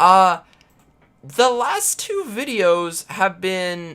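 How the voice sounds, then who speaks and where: Very slow speech in a Southern US accent. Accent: overly southern. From US Midwest, Illinois. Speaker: indie game developer and streamer. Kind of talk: live stream chat.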